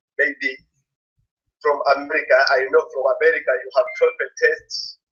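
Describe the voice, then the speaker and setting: A man speaks with music playing behind him. He leaves long pauses, and often. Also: big swings in loudness. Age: 30s. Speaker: English language student. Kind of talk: interview. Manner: halting.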